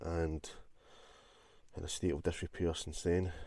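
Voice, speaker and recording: A man's very deep, low voice, somewhat breathy and dark and mellow in tone, at a moderate pace in a dry sound with no echo. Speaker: urban explorer vlogger. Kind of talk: casual vlog narration. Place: car. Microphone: phone near.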